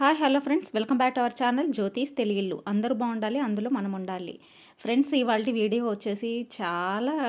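On a very clean recording with a silent background, a woman talks in an unremarkable speaking voice, fairly high in pitch with ordinary pitch variation. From Rayalaseema, Andhra Pradesh. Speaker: YouTube vlogger. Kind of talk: vlog narration.

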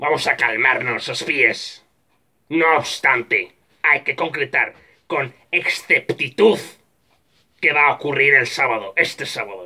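A man puts on a character voice at a medium pitch, speaking slowly with a bright, sharp tone and ordinary pitch variation.

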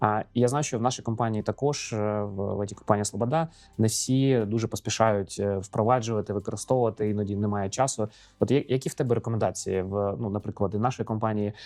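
Here a man talks at a fairly quick pace. His pitch sits fairly low, his intonation fairly even. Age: 40s. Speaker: podcast host, IT entrepreneur. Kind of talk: casual interview. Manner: halting.

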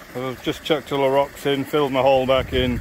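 A man at a fairly quick pace over light background noise. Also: dry sound with no echo. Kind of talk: casual vlog commentary. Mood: mildly disappointed, then curious. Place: waterside. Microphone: phone near.

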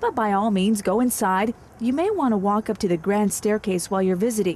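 A woman speaks in a normal speaking voice at a fairly high pitch. Her pitch varies in an ordinary way. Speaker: tour guide narrator. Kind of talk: scripted self-guided walking tour narration. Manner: playful, teasing spooky storyteller; chatty, addresses listener directly with questions.

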